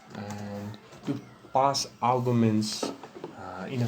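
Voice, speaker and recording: This man has a non-native accent, a fairly low pitch and fairly even intonation. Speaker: programming tutorial maker. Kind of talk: screen-recorded software tutorial. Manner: casual, hesitant with fillers.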